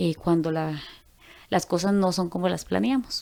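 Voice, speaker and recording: A woman with an unremarkable speaking voice talks at a moderate pace, her pitch medium and her intonation fairly even. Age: 30s. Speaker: church group member. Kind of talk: testimony.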